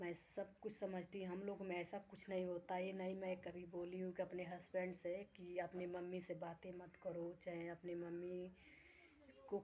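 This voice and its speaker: A woman speaks at a fairly slow pace in a dark, mellow tone. Her pitch is medium and her intonation is flat and monotone. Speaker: vlogger. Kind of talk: casual vlog talk to viewers.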